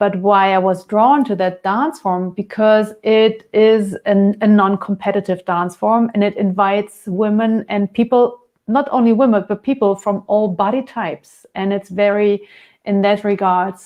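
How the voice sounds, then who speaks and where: In a German accent, a woman speaks at a fairly slow pace and a medium pitch. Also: fairly even intonation. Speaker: dance and yoga teacher. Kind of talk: interview. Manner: halting, searching for words.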